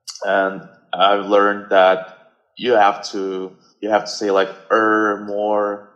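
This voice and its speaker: Speaking at a very slow pace, a man has a slight Russian accent. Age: 20s. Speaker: guest. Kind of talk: casual chat. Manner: halting.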